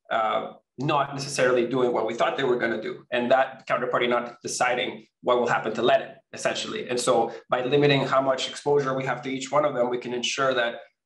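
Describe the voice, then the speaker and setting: In a room with audible echo, a man at medium pitch speaks at a fairly quick pace with fairly even intonation. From Venezuela. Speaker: crypto company co-founder. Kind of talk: interview. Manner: halting, many fillers and repeats.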